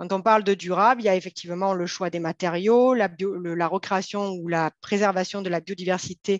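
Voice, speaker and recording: Captured in a dry, close sound with no echo, a woman speaks at a moderate pace with fairly even intonation. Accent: southern French. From southern France. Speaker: company co-founder and CEO. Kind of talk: interview. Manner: formal.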